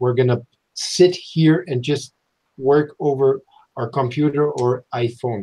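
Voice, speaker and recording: A man speaks at a fairly slow pace with a dark, mellow tone and a somewhat breathy quality. His pitch sits in the medium range and his intonation stays fairly even. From Germany. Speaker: model-building channel co-host. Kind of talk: casual live-stream chat. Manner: halting.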